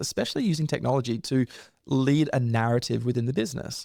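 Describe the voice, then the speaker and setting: A man with an Australian accent, medium pitch, dark, mellow tone, fairly even intonation and a very fast pace. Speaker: leadership coach and author. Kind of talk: interview.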